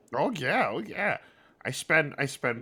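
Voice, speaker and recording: A man puts on a character voice at fairly high pitch. He speaks at a fairly slow pace. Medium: actual play. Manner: broken grammar, halting, third person.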